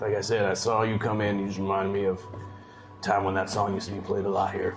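Putting on a character voice, a raspy man with a fairly low pitch rattles along at a very fast pace in a flat monotone over clear background noise. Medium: actual play. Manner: gruff, rambling.

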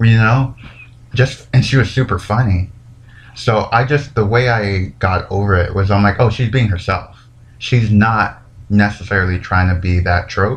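At a moderate pace, a man speaks with a fairly low pitch and a somewhat breathy voice. His loudness stays very even. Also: ordinary pitch variation. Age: 20s. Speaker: podcast host. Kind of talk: casual monologue. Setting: home recording.

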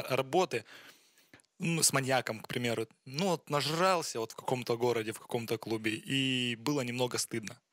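This is a man with a normal speaking voice. His pitch is medium, with ordinary pitch variation. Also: dry, close sound with no echo. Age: 20s. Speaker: interviewer. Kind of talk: interview.

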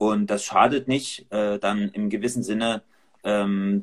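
A man speaks with a plain, everyday voice. His intonation stays fairly even. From Dresden, Saxony. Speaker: church leader. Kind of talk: casual discussion.

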